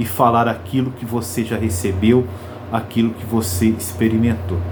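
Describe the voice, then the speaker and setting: Fairly slow male speech amid audible room echo and noticeable background noise. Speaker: preacher. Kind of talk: sermon. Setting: live stream. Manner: slow, with pauses.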